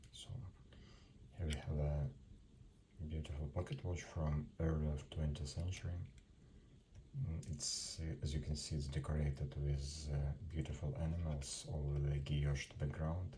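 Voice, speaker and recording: With audible room echo behind him, a man speaks in a very deep, low pitch and monotone, flat intonation, leaving long, frequent pauses. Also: moderate pace. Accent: non-native. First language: not English. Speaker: antique watch seller. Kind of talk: product presentation. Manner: halting.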